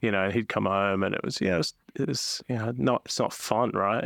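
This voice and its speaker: Recorded very cleanly against a silent background, a man with an Australian accent is heard in a dry, close sound with no echo. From South Australia, Adelaide. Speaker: entrepreneur. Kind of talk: interview conversation.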